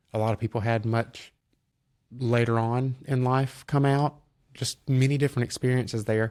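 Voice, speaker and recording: This man has a Southern US accent and a medium pitch, speaking at a moderate pace in a flat monotone. The sound is dry and close, with no echo. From US South, North Alabama (Decatur). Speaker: entrepreneur, car flipper. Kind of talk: podcast interview. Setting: studio.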